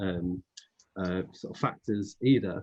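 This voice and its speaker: A man speaks with a British accent. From Britain. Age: 40s. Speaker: panel host, diversity network chair. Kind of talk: webinar panel discussion.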